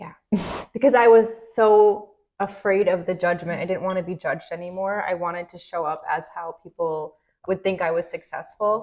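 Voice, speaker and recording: A woman talks at a moderate pace in a medium pitch, with fairly even intonation. Her loudness swings widely. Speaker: podcast co-host. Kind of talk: casual chat. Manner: expressive.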